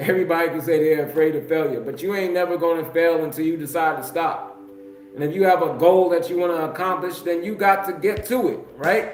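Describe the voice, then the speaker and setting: A man speaks loudly at a fairly quick pace in a high voice. Audible room echo and noticeable background noise come through. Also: ordinary pitch variation. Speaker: podcast host. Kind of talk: solo livestream monologue. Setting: live stream. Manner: energetic.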